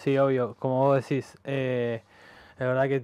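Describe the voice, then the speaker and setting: This man speaks at a moderate pace with an Argentine accent and a fairly high pitch. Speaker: handball player. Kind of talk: radio interview.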